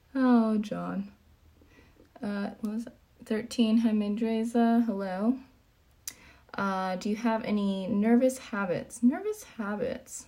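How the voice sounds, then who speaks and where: At a very slow pace with long, frequent pauses, a woman speaks in a fairly high, somewhat breathy voice with a dark, mellow tone and fairly even intonation. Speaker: fitness coach and streamer. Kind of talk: casual livestream Q&A.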